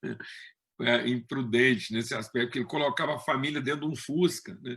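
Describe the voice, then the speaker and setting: A man with an unremarkable speaking voice talks at a medium pitch. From Brazil, Minas Gerais (Triângulo Mineiro). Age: 60s. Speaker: preacher. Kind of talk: sermon. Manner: conversational, with frequent fillers.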